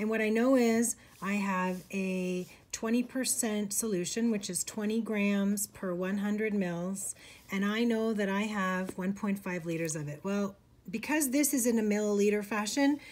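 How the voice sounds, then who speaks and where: Ordinary pitch variation from a woman, at a fairly slow pace. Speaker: instructor. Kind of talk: tutorial. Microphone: phone near.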